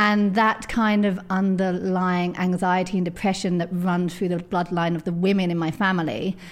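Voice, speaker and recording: A woman with a southern English accent talks at a moderate pace and medium pitch, flat and monotone, with hardly any pauses. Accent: southern English, London-area. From edge of London, England. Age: 30s. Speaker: author and magazine editor. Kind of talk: casual interview chat.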